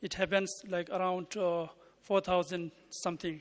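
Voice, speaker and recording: A non-native accent at a fairly slow pace. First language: not English. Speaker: conference presenter. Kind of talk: paper reading. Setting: conference. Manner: halting.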